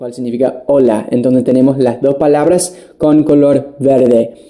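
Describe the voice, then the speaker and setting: At a fairly slow pace, a man speaks with a fairly high pitch and a dark, mellow tone. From United States. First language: English (speaking Spanish). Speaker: English teacher. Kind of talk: online language lesson. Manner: casual, with fillers and restarts.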